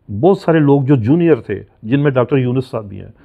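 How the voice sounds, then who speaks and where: A man with medium pitch speaks at a moderate pace against a quiet background. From Pakistan, Punjab. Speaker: retired scientist and consultant; guest. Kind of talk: interview. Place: home room.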